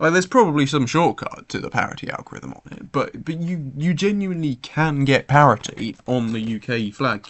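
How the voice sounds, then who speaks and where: Fairly quick delivery from a man, his pitch swinging very widely. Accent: British. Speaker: speedcuber streamer. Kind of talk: casual live stream chat. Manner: hesitant, repeats words.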